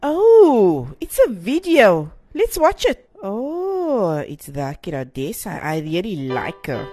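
A woman slowly performs a put-on character voice, dark and mellow with a slightly husky edge, her pitch swinging very widely. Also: medium pitch for a woman.

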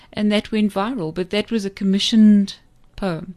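A woman's medium-pitched voice over a quiet background. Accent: South African. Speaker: poet and former teacher. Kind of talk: radio interview. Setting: studio.

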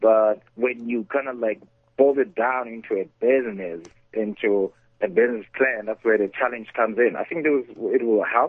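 Medium pitch and a moderate pace from a man with a normal speaking voice and ordinary pitch variation. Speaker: entrepreneur and investor. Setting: phone call.

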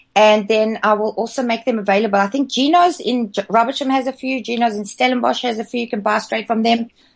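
A woman with a fairly high pitch talks at a very fast pace with hardly any pauses. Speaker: charity project founder. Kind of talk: radio interview. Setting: Skype call. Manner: animated.

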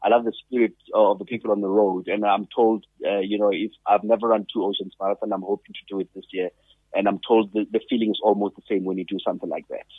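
A man's fairly low voice, monotone and flat in intonation, at a very fast pace. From South Africa. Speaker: radio sports host. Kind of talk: casual interview.

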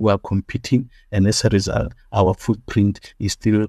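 A man's fairly low, somewhat breathy voice, dark and mellow in tone, at a moderate pace, dry and close with no echo against a quiet background. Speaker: party leader and pastor. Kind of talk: interview.

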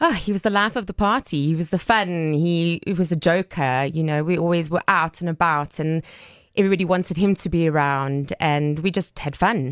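In an unremarkable speaking voice, a woman talks at a moderate pace and fairly low pitch with ordinary pitch variation. The sound is dry and close with no echo, against a quiet background. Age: 30s. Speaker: divorced mother of three. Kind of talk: interview testimony.

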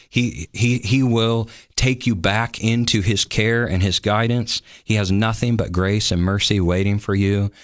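An American accent at a fairly slow pace, with fairly even intonation, very even loudness, and a quiet background. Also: man, fairly low pitch for a man. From US Midwest (Iowa, Sioux City). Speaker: pastor. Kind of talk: devotional talk.

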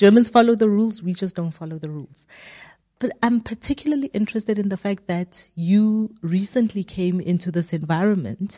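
A woman speaks at a moderate pace with lively intonation, somewhat breathy and dark and mellow in tone, in a dry, close sound with no echo over a quiet background. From South Africa. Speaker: podcast interviewer. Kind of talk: interview.

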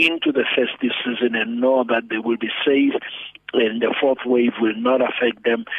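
A man talks at a fairly slow pace in a medium pitch, his intonation monotone and flat. Noticeable background noise runs behind him. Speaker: pastor and economic commentator. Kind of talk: radio interview.

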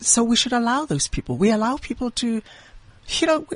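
A woman's voice is heard. It has a somewhat breathy quality. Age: 40s. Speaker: lawyer and bioethicist, cancer survivor. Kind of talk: radio interview guest. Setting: radio studio.

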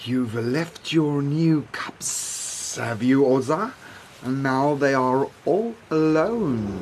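Over clear background noise, a man uses a put-on character voice with a sinister tone, a fairly high pitch, hissing, and a very slow pace. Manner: hissing, sinister.

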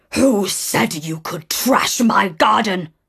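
A put-on character voice, gruff and growling, at a middle pitch and a very slow pace. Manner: angry, menacing.

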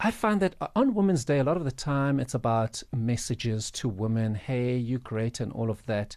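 Over a quiet background, a man speaks in a plain, everyday voice at medium pitch and a moderate pace, with hardly any pauses. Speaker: radio co-host. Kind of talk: radio interview.

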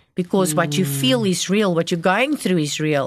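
Background noise stays noticeable the whole time. It sits behind a woman's speech. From South Africa, Gauteng. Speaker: missionary. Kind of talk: testimony. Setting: studio.

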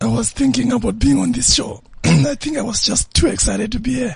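In a raspy, hoarse put-on character voice, the speaker moves at a fairly quick pace. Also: man, high pitch for a man.

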